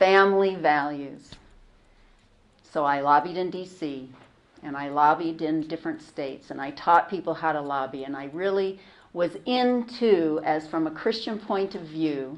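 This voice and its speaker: In a General American accent, a woman uses a normal speaking voice at a fairly low pitch with ordinary pitch variation. She speaks at a fairly slow pace over a quiet background. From US West Coast. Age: 60s. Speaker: convert giving a talk. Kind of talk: talk to students.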